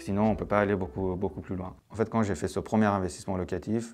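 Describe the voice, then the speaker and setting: This man's voice sits fairly low. The rise and fall of his pitch is ordinary. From Iran, moved to France at 13. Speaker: TV producer-director giving investor testimonial. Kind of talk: testimony. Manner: hesitant, many fillers.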